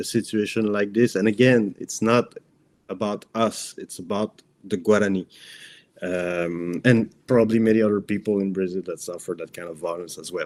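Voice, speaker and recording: The speaker has a non-native accent. Intonation stays fairly even. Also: man. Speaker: journalist. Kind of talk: interview. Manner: halting.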